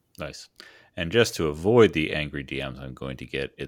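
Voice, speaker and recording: In a very clean recording with a silent background, a man speaks at a very deep, low pitch with vocal fry. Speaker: podcast host. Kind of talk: casual interview chat.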